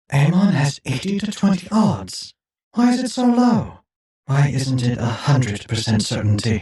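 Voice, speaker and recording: With slight echo, a man does a put-on character voice at a fairly high pitch, moving at a moderate pace through very wide pitch swings. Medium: audio drama. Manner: anxious, impatient.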